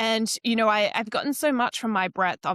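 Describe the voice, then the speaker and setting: A woman's bright, sharp voice in an Australian accent, dry and close with no echo, on a very clean recording with a silent background. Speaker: marketing strategist and coach. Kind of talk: casual interview chat.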